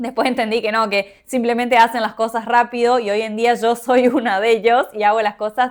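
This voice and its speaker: A woman with an ordinary speaking voice talks at a moderate pace and a fairly high pitch in a very clean recording with a silent background. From Argentina, Misiones province. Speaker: podcaster. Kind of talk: personal reflective monologue.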